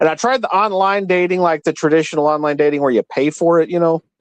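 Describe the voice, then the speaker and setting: This is a man speaking. He goes at a very fast pace. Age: 40s. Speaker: live-stream panel guest. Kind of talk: casual chat. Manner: halting, many repeated words.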